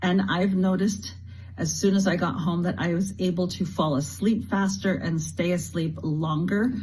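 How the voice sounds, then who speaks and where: Her loudness stays very even as the woman speaks at a moderate pace, with audible room echo around her voice. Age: 60s. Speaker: customer giving testimony. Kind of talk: testimony.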